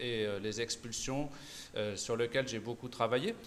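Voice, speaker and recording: A man talks with ordinary pitch variation. His voice sits at a medium pitch. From Auvergne-Rhône-Alpes, France. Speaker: political candidate, nurse. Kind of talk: political debate. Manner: halting, many hesitations.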